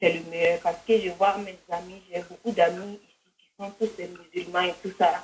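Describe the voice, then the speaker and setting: A woman at medium pitch with a Burkinabe accent, at a moderate pace. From Burkina Faso. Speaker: caller converting to Islam. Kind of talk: phone call-in conversation.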